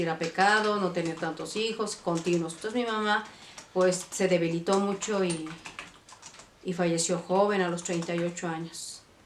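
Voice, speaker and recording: Background noise is clearly present as a woman talks at a moderate speed. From Mexico City (born Monterrey, moved at three). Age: 60s. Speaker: vlogger. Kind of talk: life story testimony. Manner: halting, many fillers.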